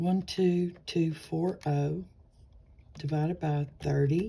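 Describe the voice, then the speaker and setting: With a Southern US accent, a woman speaks very slowly in a dark, mellow tone. Her voice is somewhat breathy, with fairly even intonation. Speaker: nursing tutor. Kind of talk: tutorial. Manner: casual, chatty; halting, stumbling.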